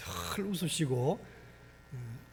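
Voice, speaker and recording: A man with vocal fry and ordinary pitch variation speaks amid audible room echo. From Gangwon Province, Korea. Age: 60s. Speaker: pastor. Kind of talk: sermon. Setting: church.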